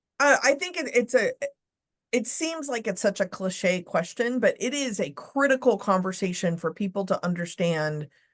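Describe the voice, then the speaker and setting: A loud woman with an American accent, very wide pitch swings and a moderate pace, against a quiet background. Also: fairly high pitch for a woman. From Texas. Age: 40s. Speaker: leadership and diversity speaker. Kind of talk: podcast interview.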